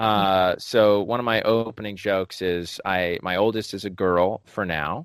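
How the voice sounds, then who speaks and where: Fairly slow and with hardly any pauses, this is an ordinary speaking voice. The intonation is fairly even. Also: man, fairly low pitch for a man. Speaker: podcast host and stand-up comedian. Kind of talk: casual interview conversation. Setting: video call.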